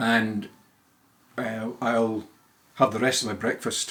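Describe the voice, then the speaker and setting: A man with a Scottish accent at a medium pitch, fairly slow in pace, with monotone, flat intonation. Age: 70s. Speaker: retired lawyer. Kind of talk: casual monologue. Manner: halting.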